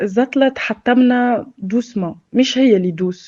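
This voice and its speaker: A woman speaks with a Tunisian accent. Her pitch varies in an ordinary way. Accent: Tunisian Arabic with French loanwords. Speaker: former drug addict sharing experience. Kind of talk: personal testimony. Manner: hesitant, many filler sounds.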